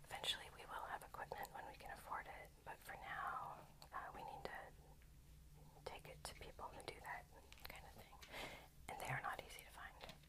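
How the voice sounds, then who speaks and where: A woman whispers at a moderate pace with long, frequent pauses. Noticeable background noise can be heard. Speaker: ASMR creator and rock collector. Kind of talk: ASMR rock-collection show-and-tell with reading from a book. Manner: whispered; casual, chatty with filler words.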